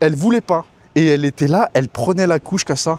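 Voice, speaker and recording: A man at a fairly quick pace, recorded dry and close with no echo. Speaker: expat vlogger. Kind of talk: casual vlog monologue. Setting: outdoors by a swimming pool. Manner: casual, hesitant with fillers.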